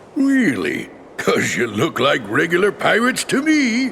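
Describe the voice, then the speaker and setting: Over clear background noise, a man puts on a character voice at a moderate pace. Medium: video game. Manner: gruff, blustering.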